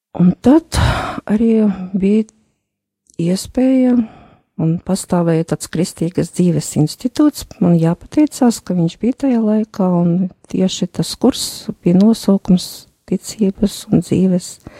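This woman's voice has a dark, mellow tone at a medium pitch, somewhat breathy, with lively intonation and a dry, close sound with no echo. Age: 50s. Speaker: accountant and retreat participant. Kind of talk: personal testimony in interview. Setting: radio studio.

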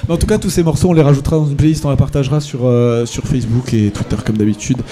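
Pitch varies in an ordinary way as a man speaks at a very fast pace. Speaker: radio host. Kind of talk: live radio show. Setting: live broadcast from a bar with audience. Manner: hesitant, many fillers.

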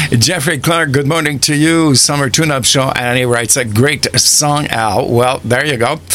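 A man at a moderate pace with hardly any pauses, very even loudness and ordinary pitch variation, over noticeable background noise. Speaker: radio host. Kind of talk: relaxed radio DJ patter with song back-announcements and listener shout-outs. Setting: studio. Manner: chatty and rambling, heavy with uh fillers; warm, enthusiastic, laughs easily.

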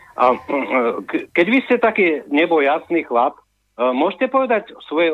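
Lively intonation marks a man's speech, which keeps a moderate pace. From Slovakia, Orava (Námestovo). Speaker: radio caller. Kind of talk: phone-in chat. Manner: halting.

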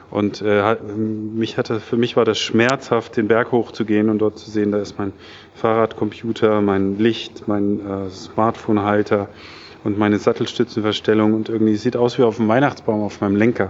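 A man talks at a moderate pace in a fairly low voice. His intonation stays monotone and flat. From Germany, Taunus (Hesse). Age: 40s. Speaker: serial entrepreneur, startup founder. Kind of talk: interview at a meetup event. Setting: tech meetup event. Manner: many filler sounds (äh, ähm).

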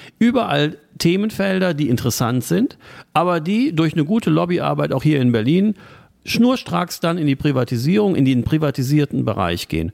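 The pitch swings very widely while the loudness stays very even. The pace is moderate. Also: man, fairly high pitch for a man. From Germany, Trier. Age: 40s. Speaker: local party chairman. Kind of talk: political interview.

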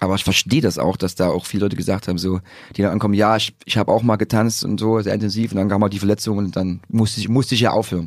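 His pitch sits fairly low. The man rattles along at a very fast pace. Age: 30s. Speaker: breakdancer. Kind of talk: casual chat. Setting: studio. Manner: animated.

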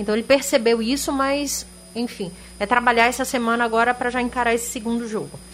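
Music plays behind a woman talking at a very fast pace. Her intonation stays fairly even. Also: fairly high pitch for a woman. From Sergipe, Brazil (Boquim). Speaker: sports panelist. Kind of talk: casual sports talk. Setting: radio studio.

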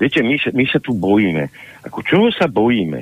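A man's voice moves through very wide pitch swings. He keeps a moderate pace. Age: 60s. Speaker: political analyst and party leader. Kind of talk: political interview. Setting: phone call. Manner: animated.

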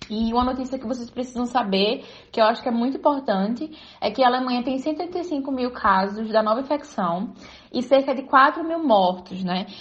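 A woman speaks at a moderate pace with a high pitch and lively intonation. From Pernambuco, Brazil. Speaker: journalist. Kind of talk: recorded report.

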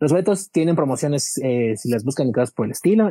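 The sound is dry and close, without any echo. A man's voice carries a dark, mellow tone. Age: 30s. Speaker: musical theatre fan guest. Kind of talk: casual chat.

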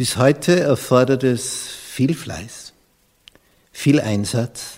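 The man's pitch varies in an ordinary way. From Austria. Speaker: pastor. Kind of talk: sermon.

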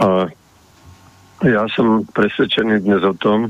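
The man's intonation stays fairly even as he talks at a fairly slow pace. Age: 70s. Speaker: farmer and former agriculture minister. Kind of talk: radio panel debate.

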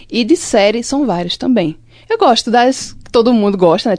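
A woman's dark, mellow tone with lively intonation at a moderate pace. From Limoeiro, Pernambuco, Brazil. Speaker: communication student and short film director. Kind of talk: casual chat.

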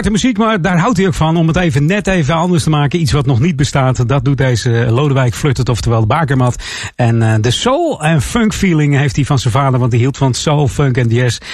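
Fairly quick and somewhat breathy, a man speaks with a fairly high pitch, lively intonation and very even loudness. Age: 50s. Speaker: radio DJ. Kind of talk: music radio presenting.

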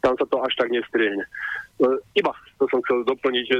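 A man is speaking. His pace is fairly quick. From Slovakia. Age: 60s. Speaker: caller. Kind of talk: phone-in question. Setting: phone call.

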